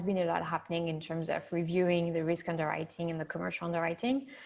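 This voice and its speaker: Talking at a very fast pace, a woman with a French accent has a fairly low pitch. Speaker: insurtech executive. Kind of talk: panel discussion.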